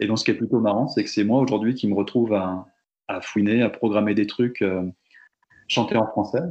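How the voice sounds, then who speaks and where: At a fairly quick pace, a man speaks in a fairly low voice with fairly even intonation. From Brittany, France (Fougères). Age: 30s. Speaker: teacher and volunteer radio host. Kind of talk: interview testimony. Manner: halting, many fillers and repetitions.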